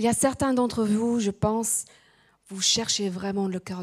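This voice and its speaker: Somewhat breathy, a woman speaks at a very slow pace with ordinary pitch variation. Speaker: preacher. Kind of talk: sermon. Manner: halting.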